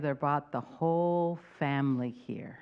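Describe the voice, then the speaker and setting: The woman's intonation is lively as she talks. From El Salvador, raised in San Francisco. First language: Spanish. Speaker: congregation board member. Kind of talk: testimony.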